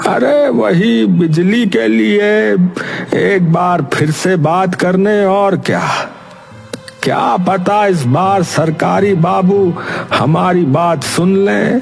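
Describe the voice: A cartoonish character voice from a man, high-pitched and very slow, over clear background noise.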